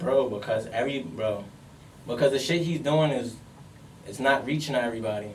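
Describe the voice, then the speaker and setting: Audible room echo surrounds a voice moving at a fairly quick pace with long, frequent pauses. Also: man, medium pitch for a man, ordinary pitch variation. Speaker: podcast co-host. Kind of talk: heated debate. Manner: loud; animated.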